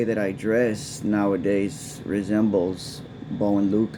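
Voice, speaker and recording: A man talks with an American accent. Room echo is audible, and background noise is noticeable. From Texas. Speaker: political vlogger. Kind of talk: casual monologue. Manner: halting.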